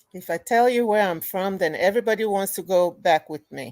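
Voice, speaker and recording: A woman speaks at a moderate pace with a Ghanaian accent. Her medium-pitched voice sounds dry and close, with no echo. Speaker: museum owner and curator. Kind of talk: radio interview.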